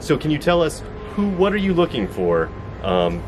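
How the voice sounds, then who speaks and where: Fairly quick delivery from a man over background music. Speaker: interviewer or host. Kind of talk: interview question. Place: garden.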